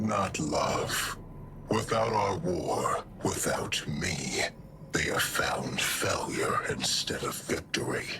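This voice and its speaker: Over clear background noise, someone performs a put-on character voice at a very slow pace. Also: man. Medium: machinima. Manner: grave, imperious.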